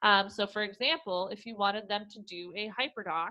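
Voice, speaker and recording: Fairly high in pitch with ordinary pitch variation, a woman speaks in a plain, everyday voice. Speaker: educational technology trainer for teachers. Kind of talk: webinar tutorial. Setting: online webinar.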